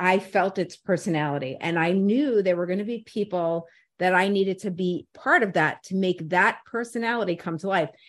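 Against a quiet background, a woman talks at a fairly quick pace and medium pitch with ordinary pitch variation, an ordinary speaking voice. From New York City (Brooklyn/Staten Island). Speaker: radio personality and program director. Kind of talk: casual interview chat.

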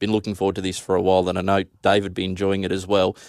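The recording is very clean, with a silent background and a dry, close sound with no echo. A man speaks at a fairly low pitch with an Australian accent. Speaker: radio host. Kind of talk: radio show presenting. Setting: studio.

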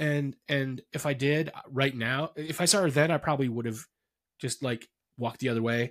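At a moderate pace, a man with a fairly high pitch talks with fairly even intonation in an ordinary speaking voice. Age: 40s. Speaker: podcast host. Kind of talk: casual interview; promotional outro. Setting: studio.

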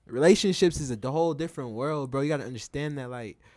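In a very clean recording with a silent background, a man with an unremarkable speaking voice talks at a fairly quick pace, his pitch fairly high and ordinarily varied. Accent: American. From Utah, Salt Lake City area (West Valley City). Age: 20s. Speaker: clothing brand owner. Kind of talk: casual chat.

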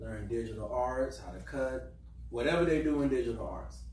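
A man with an American accent speaks at a moderate pace. Background noise is noticeable, and room echo is audible. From Florida, Eatonville. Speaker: youth club director, military veteran. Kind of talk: panel discussion.

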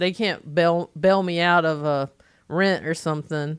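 A woman with a Southern US accent at a fairly slow pace, very clean recording, silent background. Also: dry, close sound with no echo. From North Carolina, US South. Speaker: stand-up comedian. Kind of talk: casual chat.

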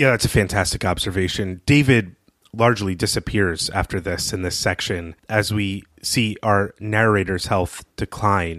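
A normal speaking voice with ordinary pitch variation proceeds at a moderate pace, captured on a very clean recording against a silent background. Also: man. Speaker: podcast host. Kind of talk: casual podcast recap.

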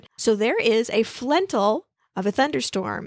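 An unremarkable speaking voice from a woman, fairly high in pitch with lively intonation, dry and close with no echo against a quiet background. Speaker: podcast host. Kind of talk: casual chat, recap. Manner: chatty, informal.

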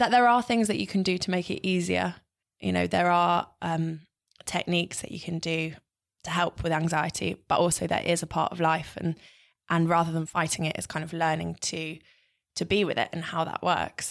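A woman speaks in a British accent at a moderate pace. The recording is very clean, with a silent background. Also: fairly low pitch for a woman, ordinary pitch variation. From Britain. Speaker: TV weather presenter. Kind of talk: interview.

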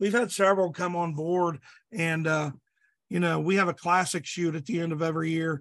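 This voice carries a Midwestern American accent, fairly even intonation and a moderate pace. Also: man. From Southeast Indiana. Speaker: police chief and archery gear designer. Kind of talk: casual interview. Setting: online call.

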